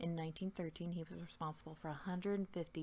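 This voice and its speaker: Over light background noise, a woman with an unremarkable speaking voice talks at a fairly quick pace and fairly low pitch with fairly even intonation. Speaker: ASMR true-crime host. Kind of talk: ASMR true crime narration. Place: home room. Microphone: webcam.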